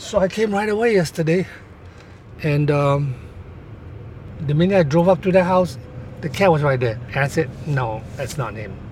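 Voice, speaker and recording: A man's fairly high voice with lively intonation and long, frequent pauses, over noticeable background noise. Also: moderate pace. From Singapore. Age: 70s. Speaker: condo board president, real estate agent. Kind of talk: interview conversation.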